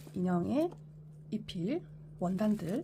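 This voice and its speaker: A woman with a Busan accent and very wide pitch swings. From Korea, Busan. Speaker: sewing tutorial creator. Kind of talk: tutorial. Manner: halting, self-correcting.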